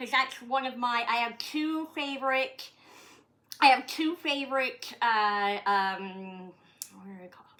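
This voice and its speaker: In a Maritime Canadian accent, a woman speaks at a fairly slow pace with a high pitch and a bright, sharp tone. Her pitch variation is ordinary, while her loudness swings widely. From Canada, Nova Scotia. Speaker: comedian. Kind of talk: casual chat. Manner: halting.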